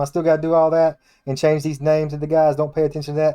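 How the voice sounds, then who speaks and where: A man with an American accent talks at a very fast pace in a fairly high pitch. His tone is dark and mellow, and his intonation is monotone and flat. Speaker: gaming YouTuber and modder. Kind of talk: casual gameplay commentary. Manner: halting, many restarts and fillers.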